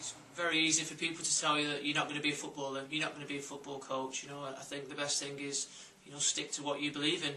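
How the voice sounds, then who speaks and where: This man talks very fast with a Lancashire accent at a fairly high pitch, and audible room echo surrounds his voice. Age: 20s. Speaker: football coach. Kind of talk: interview testimony.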